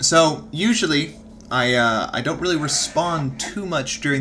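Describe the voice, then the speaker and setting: A man speaks at a moderate pace in a bright, sharp tone with lively intonation. Audible room echo surrounds his voice. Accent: slight Texas. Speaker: streamer reading books aloud. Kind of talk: casual chat with live chat during reading break. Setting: live stream.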